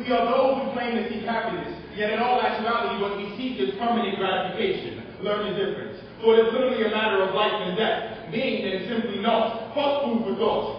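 A man with a high-pitched voice talks at a fairly quick pace, with strong room echo and light background noise. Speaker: slam poet. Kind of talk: slam poetry performance, rhetorical and literary verse. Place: stage.

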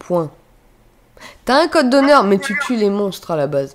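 Against a quiet background, a woman talks in an animated tone with very wide pitch swings. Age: 20s. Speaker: video game streamer. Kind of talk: live stream chat. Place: home room.

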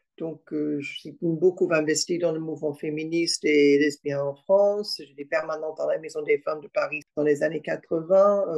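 Hardly any pauses break up speech that goes at a fairly slow pace. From Australia. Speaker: retired professor and feminist activist. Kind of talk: testimony.

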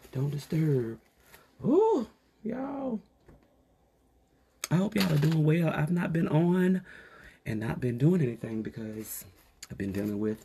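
A man with a fairly high pitch speaks at a fairly slow pace, his voice somewhat breathy. His pitch swings very widely, and he leaves long, frequent pauses. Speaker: beauty vlogger. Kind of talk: casual get-ready-with-me vlog. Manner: animated.

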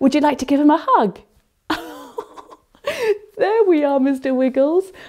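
Against a quiet background, a woman speaks with lively intonation. Her tone is dark and mellow. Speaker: English teacher for young children. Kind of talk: puppet play for young English learners. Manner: slow, clear, animated. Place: studio.

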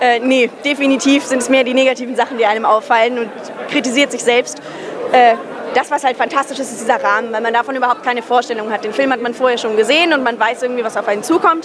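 Crowd noise fills the background as a woman speaks at a very fast pace. Her pitch is high, with ordinary variation. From Hesse, Germany. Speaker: actress; film actress. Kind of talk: casual interview. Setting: cinema premiere event. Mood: cheerful, reflective. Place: hall. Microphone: handheld.

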